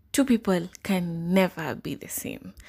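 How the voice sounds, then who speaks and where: In a very clean recording with a silent background, a woman talks at a moderate pace, somewhat breathy, with lively intonation. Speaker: podcast host. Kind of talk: casual solo podcast talk. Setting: solo podcast recording.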